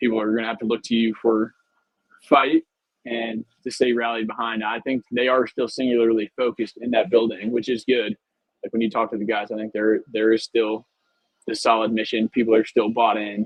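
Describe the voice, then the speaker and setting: A man speaks at a fairly quick pace in a medium pitch, his intonation flat and monotone. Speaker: college football reporter. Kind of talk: post-game reaction livestream. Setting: press box at stadium.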